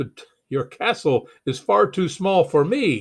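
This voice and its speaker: A man puts on a character voice with fairly high pitch. He speaks at a fairly slow pace against a quiet background. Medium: read story. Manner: roaring.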